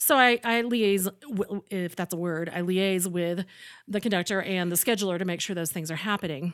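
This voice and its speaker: On a very clean recording with a silent background, a woman speaks at a medium pitch with ordinary pitch variation. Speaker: opera coach and pianist. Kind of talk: casual interview chat. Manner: fast talker.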